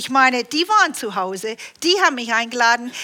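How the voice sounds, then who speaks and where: Swinging very widely in pitch, a woman speaks in a high voice. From Canada. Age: 60s. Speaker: preacher. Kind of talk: sermon. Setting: church.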